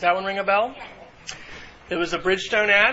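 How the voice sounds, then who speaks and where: A man with a high-pitched voice over noticeable background noise. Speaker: university instructor. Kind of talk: lecture. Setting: classroom.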